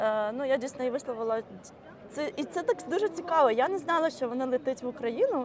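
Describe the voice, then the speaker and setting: A woman with a high pitch talks at a fairly quick pace with lively intonation over noticeable background noise. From Ukraine. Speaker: community organizer. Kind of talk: casual chat. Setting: outdoors.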